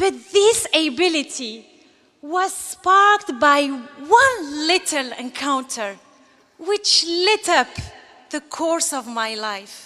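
The voice is raised and projected, moving at a very slow pace with very wide pitch swings. The background is quiet. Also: woman, extremely high pitch for a woman. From Algeria. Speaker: graduating student giving commencement speech. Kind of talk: graduation speech, earnest and polished, delivered to an audience. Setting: stage with audience. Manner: formal. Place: stage. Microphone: podium.

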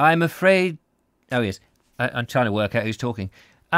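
An unforced reading voice in a quiet setting

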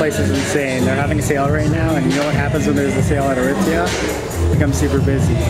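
Music playing behind a man's very fast speech. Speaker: vlogger. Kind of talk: casual vlog chat. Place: shop. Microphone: phone near.

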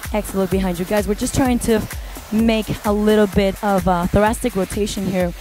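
A woman speaks at a moderate pace, dry with no echo. Clear music plays in the background. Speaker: fitness instructor. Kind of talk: workout class instruction. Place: gym.

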